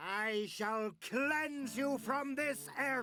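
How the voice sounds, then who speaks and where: In a put-on character voice, the speaker talks at a fairly high pitch. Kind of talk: archaic, dramatic. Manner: menacing, grandiose.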